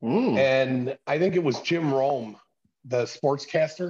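A man's somewhat breathy, fairly high voice with fairly even intonation, in a dry, close sound with no echo. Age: 60s. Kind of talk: casual chat.

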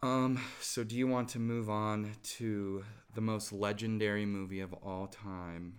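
Fairly low-pitched male speech at a fairly slow pace, with fairly even intonation and audible room echo. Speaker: podcast co-host. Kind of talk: casual chat. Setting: recording in person in the same room.

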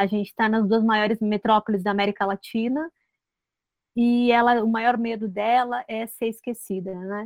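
A woman with an unremarkable speaking voice and fairly high pitch speaks at a moderate pace. Her intonation is fairly even, and the sound is dry and close with no echo. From Rio Grande do Sul, Brazil. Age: 40s. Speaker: screenwriter. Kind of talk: interview.

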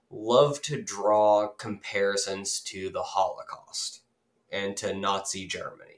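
A man speaks with an Appalachian accent. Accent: Southern Appalachian US. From north Georgia Appalachia. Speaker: political podcast host. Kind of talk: casual political discussion.

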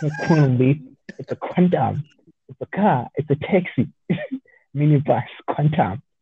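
In a South African accent, a man with a fairly high pitch and a dark, mellow tone sounds somewhat breathy, using ordinary pitch variation and long, frequent pauses in a dry, close sound with no echo. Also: moderate pace, big swings in loudness. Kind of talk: casual chat. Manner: stammering, repeats words.

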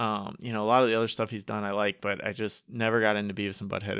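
A man talks at a very fast pace in a fairly low pitch. His intonation is monotone and flat. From upstate New York. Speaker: podcast host. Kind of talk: casual chat.

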